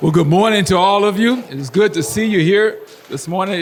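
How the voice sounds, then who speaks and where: Noticeable background noise sits under the recording. A man talks with ordinary pitch variation. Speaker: school superintendent. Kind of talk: address to parents at a school meeting. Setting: meeting room with live audience.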